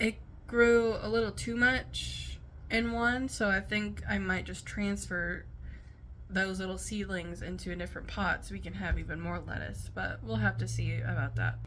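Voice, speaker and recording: A woman mumbling at a moderate pace. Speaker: stay at home mom. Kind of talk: casual talk to camera.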